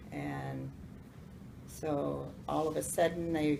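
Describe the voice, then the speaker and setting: Audible room echo surrounds a woman who speaks with an American accent. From US South, North Carolina. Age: 70s. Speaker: grandmother telling life stories. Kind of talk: storytelling to family. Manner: halting.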